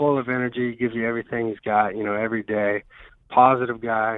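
Pitched in the medium range, a man's voice carries a Southern US accent. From US South, Georgia (north of Atlanta). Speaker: professional baseball pitcher. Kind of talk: radio interview. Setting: phone call.

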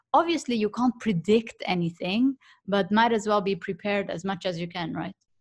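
On a very clean recording with a silent background, a woman speaks at a medium pitch and a moderate pace, somewhat breathy, with ordinary pitch variation. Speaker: professional negotiator. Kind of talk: interview.

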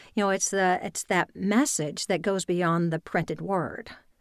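A woman speaks in a medium pitch with a slight Louisiana accent and ordinary pitch variation. The recording is very clean, with a silent background. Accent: mild Southern US (Louisiana). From US South. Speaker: voice and speech coach. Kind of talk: interview conversation.

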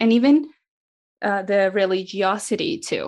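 Over a quiet background, a woman speaks at a moderate pace in a medium pitch. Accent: Spanish. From South America. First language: Spanish. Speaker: missionary mobilizer. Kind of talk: interview conversation.

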